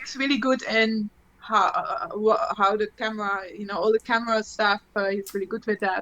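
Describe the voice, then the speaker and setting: With a German accent, a woman talks at a moderate pace in a fairly high pitch and fairly even intonation, the sound dry and close with no echo and noticeable background noise. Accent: German-tinged English, non-native. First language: Dutch. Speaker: electronic musician and gear video presenter. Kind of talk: casual chat. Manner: halting, many fillers and restarts.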